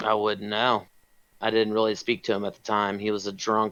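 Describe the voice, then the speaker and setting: A raspy, put-on character voice moves at a moderate pace. It stays monotone, with flat intonation, yet swings greatly in loudness. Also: man, fairly low pitch for a man. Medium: actual play. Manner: blunt, dismissive.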